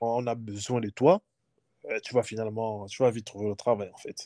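A plain, everyday voice, a man of medium pitch, fairly even intonation, moderate pace. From Gabon. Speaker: former international student. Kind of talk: interview.

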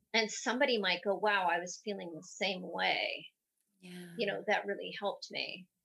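Bright and sharp in tone, a woman speaks at medium pitch and a moderate pace with vocal fry, fairly even intonation and big swings in loudness. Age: 50s. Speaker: professional dancer. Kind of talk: casual chat.

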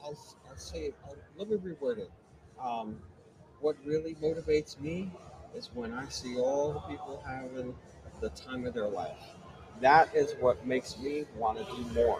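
A man with an American accent and a fairly high pitch speaks at a moderate pace with long, frequent pauses over noticeable background noise. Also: lively intonation, big swings in loudness. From Bronx, New York. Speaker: DJ. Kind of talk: casual chat. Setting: live at a DJ trade show.

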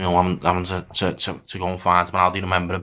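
Talking very fast with a Liverpool accent, a man uses a very deep, low pitch and a bright, sharp tone on a very clean recording with a silent background. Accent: Scouse. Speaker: supporters' group chair. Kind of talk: casual chat. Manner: halting.

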